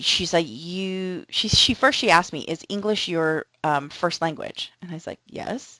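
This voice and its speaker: Against a quiet background, a woman speaks at a fairly quick pace and a fairly low pitch, with ordinary pitch variation. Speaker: college instructor. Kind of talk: recorded lecture. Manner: fast; casual, conversational.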